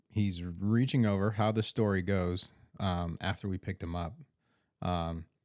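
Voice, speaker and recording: In a very clean recording with a silent background, a soft-spoken man with a very deep, low voice talks fairly slowly with fairly even intonation. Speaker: EMS worker podcast co-host. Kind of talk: casual chat.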